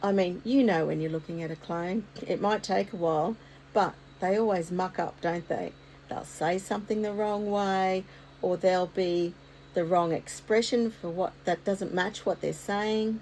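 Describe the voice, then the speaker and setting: Speaking with an Australian accent, a woman keeps a moderate pace, a medium pitch and fairly even intonation. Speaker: art content creator. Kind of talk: casual vlog talk to camera. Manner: occasional stutter.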